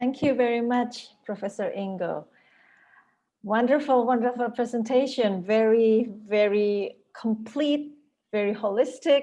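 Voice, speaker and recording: Speaking in an American accent, a woman uses a dark, mellow tone at a fairly high pitch and a fairly slow pace. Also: ordinary pitch variation. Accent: American-sounding English. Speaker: university lecturer, moderator. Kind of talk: webinar moderation. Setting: video call.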